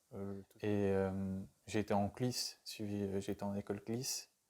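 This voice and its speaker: Flat and monotone in intonation, this voice carries a dark, mellow tone. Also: man. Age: 20s. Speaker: trainee youth educator. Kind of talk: interview testimony. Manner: halting, many hesitations and repetitions.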